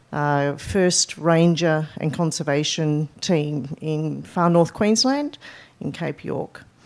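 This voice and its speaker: In a very clean recording with a silent background, a woman with an Australian accent speaks in a very deep, low pitch. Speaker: conservation advisor. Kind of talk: conference presentation. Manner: hesitant, many fillers.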